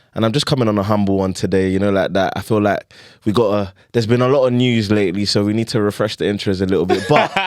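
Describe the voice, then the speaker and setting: Very fast, animated delivery in a Nigerian accent, very even loudness, very clean recording with a silent background. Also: man, fairly low pitch for a man. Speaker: podcast host. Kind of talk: casual chat.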